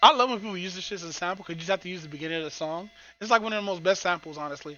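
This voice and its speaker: A man's high voice at a very fast pace, with big swings in loudness, ordinary pitch variation and noticeable background noise. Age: 30s. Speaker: vtuber streamer. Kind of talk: casual live stream chat.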